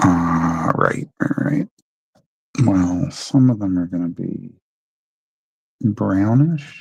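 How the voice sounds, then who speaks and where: Very slow with long, frequent pauses, a man speaks in a fairly low, somewhat breathy voice with lively intonation. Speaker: artist and author livestreaming. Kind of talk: casual live drawing stream commentary. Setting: home livestream with camera.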